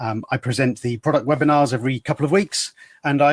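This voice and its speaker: The voice is a man's, fairly high in pitch. The sound is dry and close, without echo. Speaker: software company trainer presenting webinars. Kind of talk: webinar tutorial. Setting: online webinar. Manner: hesitant, many fillers.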